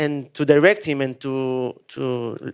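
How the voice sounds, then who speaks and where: A man with an Israeli accent speaks in a fairly high pitch. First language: Hebrew. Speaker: film director. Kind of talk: Q&A interview. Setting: stage with audience. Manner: halting.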